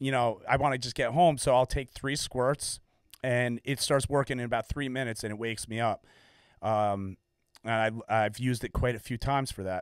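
A man's fairly even intonation at a moderate pace, with a dry sound with no echo and a quiet background. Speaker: podcast host. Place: studio. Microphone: studio mic.

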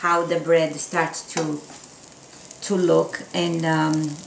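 A woman's very deep, low voice with fairly even intonation, light background noise and audible room echo. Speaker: home cook host. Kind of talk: cooking tutorial. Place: kitchen. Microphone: camera far.

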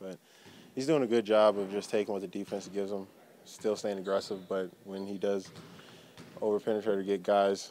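Very fast speech from a man, fairly low-pitched with a dark, mellow tone, dry sound with no echo, and light background noise. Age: 20s. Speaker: basketball player. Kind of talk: press interview. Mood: relaxed, upbeat. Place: hall.

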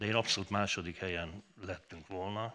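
Speaking at a moderate pace, a man uses a very deep, low pitch and fairly even intonation in a bright, sharp tone. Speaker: former rally driver; talk show guest. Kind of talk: talk show interview. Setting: studio. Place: studio.

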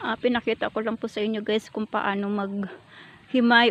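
A woman's plain, everyday voice, medium in pitch, with fairly even intonation and a fairly slow pace. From Surigao, Mindanao, Philippines. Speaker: farm vlogger. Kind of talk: casual vlog tutorial. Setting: outdoors on a pepper farm.

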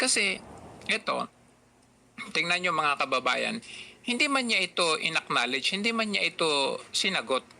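The speaker keeps a moderate pace but takes long, frequent pauses. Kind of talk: angry rant. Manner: furious, sarcastic and accusatory, hammering points with rhetorical questions.

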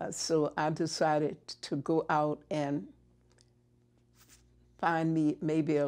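The speaker talks at a very slow pace against a quiet background. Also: woman. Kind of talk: interview answer. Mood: calm, reflective storytelling. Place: home room.

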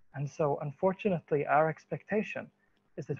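Speaking at a fairly quick pace, a man has a fairly high, somewhat breathy voice. His pitch varies in an ordinary way. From Palestinian citizen of Israel. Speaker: church program coordinator. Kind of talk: presentation. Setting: video call.

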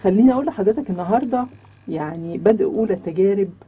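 A woman speaks with an Egyptian accent. Her tone is dark and mellow, and somewhat breathy. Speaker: radio host. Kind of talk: radio interview. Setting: radio studio. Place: studio. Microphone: studio mic.

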